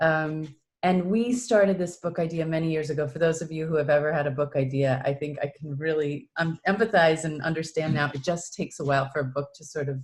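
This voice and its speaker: In a Midwestern US accent, a woman with a very deep, low pitch speaks at a moderate pace, her pitch varying in an ordinary way. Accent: US Midwest. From Iowa, Des Moines. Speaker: executive coach and author. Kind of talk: video interview.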